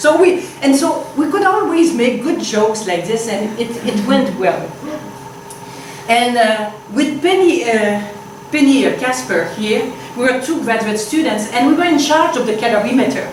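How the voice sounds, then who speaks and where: A woman's high-pitched voice in a Quebec accent, with lively intonation at a moderate pace, plus audible room echo and noticeable background noise. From Quebec, Canada. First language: French. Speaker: physicist. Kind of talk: lecture. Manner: halting, with many fillers.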